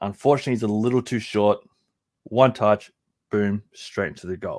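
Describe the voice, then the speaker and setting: A man with an Australian accent speaks at a moderate pace with fairly even intonation. The recording is very clean, with a silent background. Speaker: soccer podcast co-host. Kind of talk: play-by-play match analysis.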